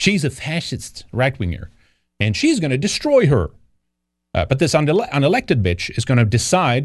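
A man with a Swedish accent talks at a fairly quick pace, his pitch swinging very widely. The background is quiet. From Sweden. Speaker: show host. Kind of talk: live-stream news commentary. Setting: live stream. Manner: halting, filler-heavy.

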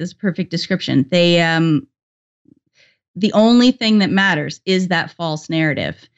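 A woman speaks with a Canadian accent in a plain, everyday voice, her pitch fairly low. Her pace is moderate, with ordinary pitch variation. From Canada. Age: 40s. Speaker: YouTuber. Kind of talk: casual interview.

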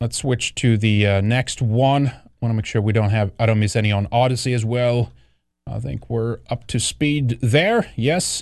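In a Swedish accent, a man talks at a moderate pace and medium pitch, with ordinary pitch variation against a quiet background. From Sweden. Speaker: online show host, commentator. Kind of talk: angry rant, sarcastic political commentary. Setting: live stream. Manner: animated, sardonic, indignant.

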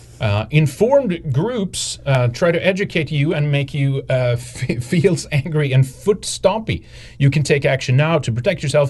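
A man's fairly high voice with vocal fry, ordinary pitch variation and hardly any pauses. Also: moderate pace. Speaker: political commentary podcast co-host. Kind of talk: casual chat. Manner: halting.

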